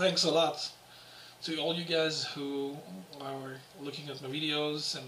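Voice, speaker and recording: A man with a French accent speaks in a monotone, flat way, with audible room echo and noticeable background noise. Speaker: guitarist and guitar teacher. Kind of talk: casual video Q&A. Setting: home apartment. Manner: halting.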